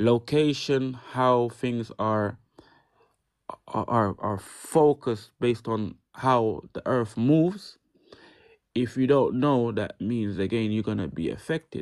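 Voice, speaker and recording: Speaking at a very slow pace, a man uses a medium pitch with ordinary pitch variation on a very clean recording with a silent background. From UK, Jamaican-born. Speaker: live-stream host. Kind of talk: casual chat. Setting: live stream. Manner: halting, many repetitions.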